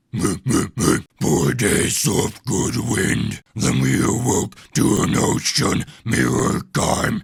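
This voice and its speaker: Doing a put-on character voice at a fairly low pitch, a man speaks at a very slow pace with very wide pitch swings and hardly any pauses. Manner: speaking volume.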